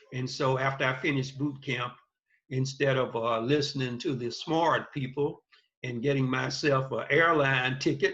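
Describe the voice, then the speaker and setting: A man's medium-pitched voice with an American accent and monotone, flat intonation. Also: moderate pace. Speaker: navy veteran. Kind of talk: interview answer.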